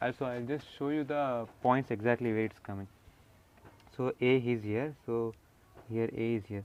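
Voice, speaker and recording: This man talks at a medium pitch with an Indian accent. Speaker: engineering drawing tutor. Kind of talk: tutorial. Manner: slow.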